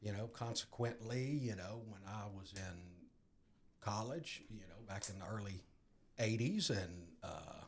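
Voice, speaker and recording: A man with a fairly low, somewhat breathy voice speaks at a fairly slow pace. His loudness swings widely, and room echo is audible. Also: ordinary pitch variation. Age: 60s. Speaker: guest in recovery. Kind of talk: testimony.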